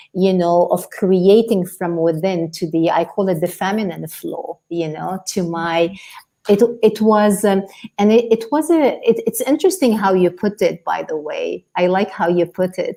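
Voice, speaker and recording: At a moderate pace, a woman with a non-native accent speaks at a medium pitch in a dark, mellow tone, with ordinary pitch variation. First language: not English. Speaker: life coach. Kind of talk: podcast interview.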